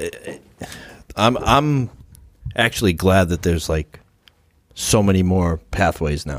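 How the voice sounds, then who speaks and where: On a very clean recording with a silent background, the speaker talks very slowly in an American accent, with long, frequent pauses and lively intonation. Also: man. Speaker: podcast co-host. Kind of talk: casual chat. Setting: studio.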